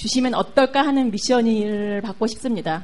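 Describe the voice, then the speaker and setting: Her pitch high, a woman talks at a fairly slow pace. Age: 40s. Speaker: audience member, aspiring motivational speaker. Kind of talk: audience Q&A.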